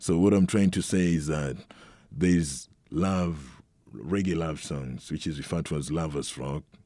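A man's very deep, low voice in a dark, mellow tone, at a fairly slow pace with ordinary pitch variation. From Kenya. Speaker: DJ and journalism graduate. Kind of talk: casual interview. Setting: studio.

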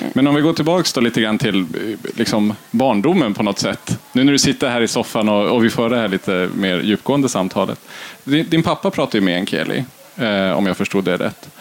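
Intonation is lively and the pace moderate. Noticeable background noise runs underneath. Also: man, medium pitch for a man. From northern Sweden, Kiruna area. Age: 30s. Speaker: podcast host. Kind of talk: interview. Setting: festival stage with live audience.

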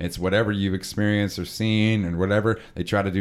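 A man with an unremarkable speaking voice talks at a fairly quick pace. His pitch is fairly low, with an American accent. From Texas. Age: 20s. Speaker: podcast host. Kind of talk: casual chat. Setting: studio.

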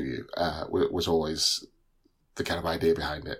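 Fairly quick speech from a man with a British accent. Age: 40s. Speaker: newsletter author and iOS developer. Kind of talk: casual interview. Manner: hesitant, many fillers.

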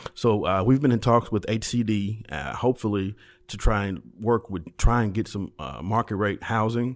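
This man speaks with a Memphis accent. His pitch sits fairly low. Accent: Southern US (Memphis). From US South, Memphis. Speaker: economic development director. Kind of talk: podcast interview.

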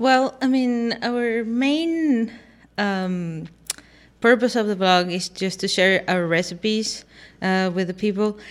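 A very slow delivery with ordinary pitch variation, in a Spanish accent. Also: woman, fairly high pitch for a woman. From Mexico, Guadalajara, Jalisco. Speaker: food blogger, recipe developer. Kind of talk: radio interview. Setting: radio studio.

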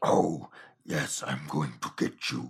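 A raspy, put-on character voice. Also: man, very deep, low pitch for a man. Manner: menacing, threatening.

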